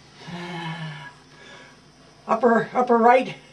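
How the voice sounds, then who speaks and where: With noticeable background noise, a man speaks in a high pitch with an American accent. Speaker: war veteran, former merchant mariner. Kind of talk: interview answer.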